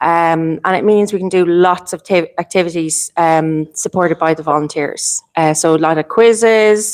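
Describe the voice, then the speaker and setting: In an Irish accent, a woman speaks at a fairly low pitch with fairly even intonation, in a dry, close sound with no echo. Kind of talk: panel discussion. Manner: fast.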